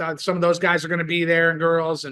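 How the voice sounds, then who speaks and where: Fast and bright, a man with an American accent speaks at a very fast pace in a sharp tone. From US, western New York (Buffalo area). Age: 60s. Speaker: rock bass player and musician. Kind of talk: casual interview chat. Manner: animated, excited.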